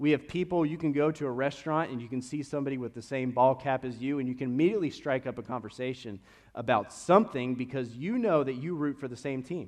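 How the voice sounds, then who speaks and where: Against a quiet background, the speaker goes at a very fast pace with a slight Kentucky accent. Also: man. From Kentucky, Lexington. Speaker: pastor. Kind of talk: sermon. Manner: casual, conversational.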